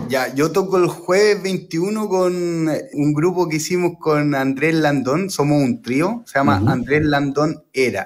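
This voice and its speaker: The speaker talks at a fairly slow pace in a Chilean accent, with ordinary pitch variation. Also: man. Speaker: jazz guitarist. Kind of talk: radio interview. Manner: halting.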